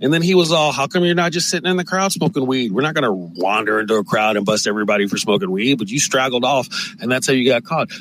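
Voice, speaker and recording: Over noticeable background noise, a man talks at a very fast pace with hardly any pauses, an animated tone, very wide pitch swings and very even loudness. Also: medium pitch for a man. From US West Coast, San Francisco. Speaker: podcast host and comedian. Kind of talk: casual monologue.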